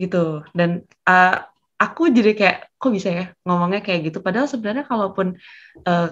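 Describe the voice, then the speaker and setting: At a moderate pace, a woman speaks in a normal speaking voice with a medium pitch. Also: ordinary pitch variation. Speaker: job-interview practice participant. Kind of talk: group discussion feedback. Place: home room. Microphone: video call.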